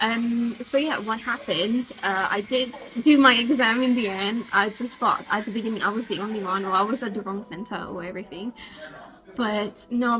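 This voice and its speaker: A fairly high-pitched woman's voice with ordinary pitch variation, over noticeable background noise. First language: French. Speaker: vlogger, law student. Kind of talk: casual vlog. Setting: hotel café. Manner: hesitant, many fillers.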